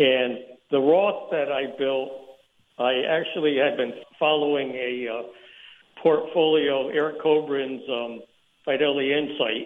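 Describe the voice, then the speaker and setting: A man with a normal speaking voice and fairly high pitch talks at a fairly slow pace with fairly even intonation. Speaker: mail carrier. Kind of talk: radio call-in. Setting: phone call.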